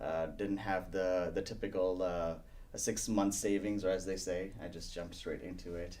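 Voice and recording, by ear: A man with a low pitch at a moderate pace.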